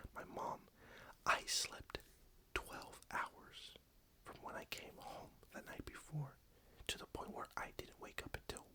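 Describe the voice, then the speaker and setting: Someone whispers at a fairly slow pace in a relaxed tone. Long pauses come often. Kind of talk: casual update talk to camera; ASMR soft-spoken update. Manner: soft-spoken, relaxed.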